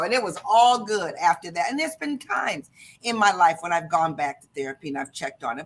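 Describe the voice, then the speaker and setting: A woman talks at a very fast pace with an American accent and an animated tone. Her voice shows vocal fry and very wide pitch swings. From US Midwest, Detroit Michigan. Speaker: motivational speaker and sales leader. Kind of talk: interview. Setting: live video stream.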